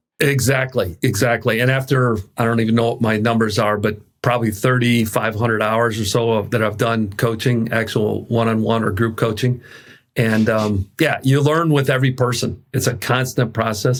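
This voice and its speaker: At a moderate pace, a man talks in an ordinary speaking voice with very even loudness. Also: medium pitch for a man, fairly even intonation. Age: 60s. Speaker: executive coach. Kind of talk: interview.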